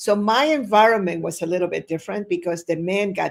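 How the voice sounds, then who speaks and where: The speech moves at a fairly quick pace with fairly even intonation and vocal fry. The recording is very clean, with a silent background. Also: woman. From Chile. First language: Spanish. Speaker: entrepreneur. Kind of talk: interview.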